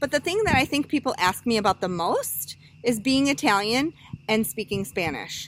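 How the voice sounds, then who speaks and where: A woman's fairly high voice at a moderate pace, with very wide pitch swings and very even loudness, over noticeable background noise. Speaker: college student. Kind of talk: class presentation speech. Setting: outdoors with small audience.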